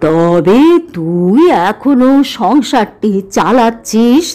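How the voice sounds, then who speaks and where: A woman's put-on character voice, fairly high in pitch. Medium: read story. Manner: low-voiced, chuckling.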